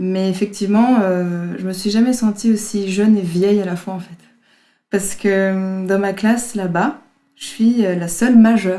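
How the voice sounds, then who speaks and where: Her tone is dark and mellow, and her pitch sits in the medium range. This woman speaks at a fairly slow pace with fairly even intonation. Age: 20s. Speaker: horn player and actress. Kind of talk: interview. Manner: hesitant, many fillers.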